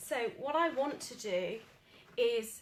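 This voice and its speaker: A woman with a British accent. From Britain. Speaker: paint retailer demonstrating furniture painting. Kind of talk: tutorial.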